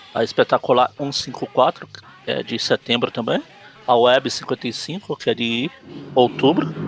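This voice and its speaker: A man at a very slow pace with big swings in loudness, dry and close with no echo, music playing behind him. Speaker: comic book podcast host. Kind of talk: casual chat.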